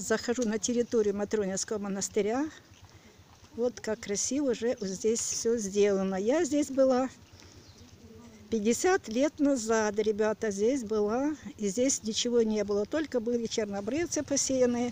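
Fairly slow speech with long, frequent pauses and a dry sound with no echo. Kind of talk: casual vlog chat. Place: street. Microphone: phone near.

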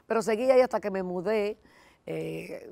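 The woman's voice has a dark, mellow tone. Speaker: lay church volunteer; interview guest. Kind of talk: testimony. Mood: warm, earnest testimony. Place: studio. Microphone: lapel.

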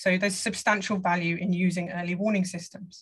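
Somewhat breathy, a woman speaks in a southern English accent. Her intonation is monotone and flat, over a quiet background. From England. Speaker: hydrology professor. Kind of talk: lecture. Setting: video call. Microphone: video call.

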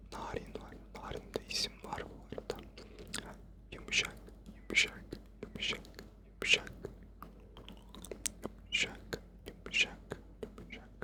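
Whispering comes at a very slow pace with long, frequent pauses amid noticeable background noise. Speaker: ASMR creator. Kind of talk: ASMR trigger word repetition. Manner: close whispered.

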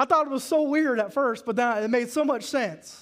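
Here a man talks fairly quickly with a Southern US accent. His pitch varies in an ordinary way, and the background is quiet. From US South. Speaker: pastor. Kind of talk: sermon. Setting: church. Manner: animated, call-and-response with the congregation. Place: church. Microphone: headset.

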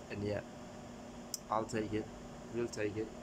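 A man is speaking. Noticeable background noise runs beneath him. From Sri Lanka. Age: 20s. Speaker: YouTuber; vlogger. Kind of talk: casual vlog; casual vlog chat. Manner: halting. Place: home room. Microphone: phone near.

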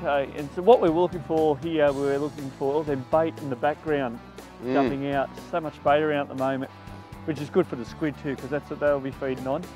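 Clear music sits in the background as a man speaks at a fairly quick pace with ordinary pitch variation. The sound is dry, with no echo. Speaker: fishing show host. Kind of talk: tutorial. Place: boat.

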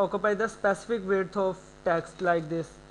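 This man speaks with a non-native accent in a high pitch. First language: not English. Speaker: programming tutor. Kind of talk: screen-recorded coding tutorial. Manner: hesitant, many filler sounds.

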